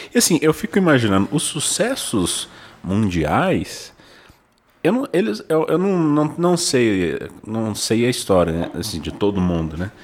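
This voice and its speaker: Speaking at a fairly slow pace, a man uses a medium pitch. His voice makes very wide pitch swings. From São José do Rio Preto, São Paulo state, Brazil. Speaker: podcast co-host. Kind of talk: casual interview chat.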